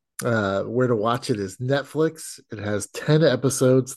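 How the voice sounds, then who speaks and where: A man's unremarkable speaking voice at a medium pitch and fairly slow pace, against a quiet background. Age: 50s. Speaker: podcast host. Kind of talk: casual chat.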